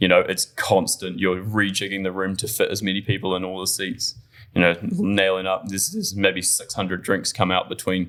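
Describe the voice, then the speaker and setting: Speaking at a fairly quick pace, a man has a very deep, low pitch and a monotone, flat intonation. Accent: New Zealand. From New Zealand. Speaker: bartender. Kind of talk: casual chat. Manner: halting.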